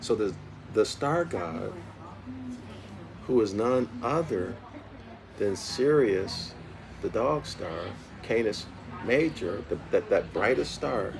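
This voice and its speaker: Noticeable background noise and audible room echo surround this very slow speech. Its pitch swings very widely, broken by long, frequent pauses. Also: man, medium pitch for a man. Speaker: study group teacher. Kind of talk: lecture. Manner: soft-spoken; repetitive.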